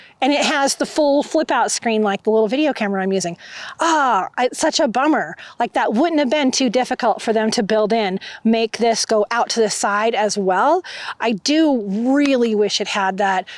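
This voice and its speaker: Over a very clean recording with a silent background, a woman with a fairly high voice speaks at a moderate pace, an ordinary speaking voice. Her intonation is lively while her loudness stays very even. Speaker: photographer and camera reviewer. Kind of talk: gear review vlog. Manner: casual with fillers.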